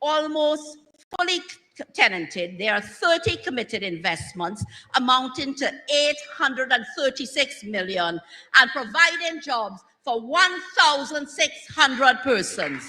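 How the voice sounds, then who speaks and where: The voice is raised and projected, moving at a fairly slow pace. Its pitch swings very widely. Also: woman, high pitch for a woman. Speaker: government minister / political speaker. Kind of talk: rousing political rally speech. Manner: rousing, energetic, emphatic.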